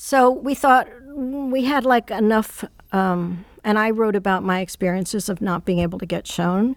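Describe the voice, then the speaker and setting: A plain, everyday voice from a woman, fairly slow pace and ordinary pitch variation, on a very clean recording with a silent background. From New York City. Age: 60s. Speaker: artist and magazine co-editor. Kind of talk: interview, reflective conversation.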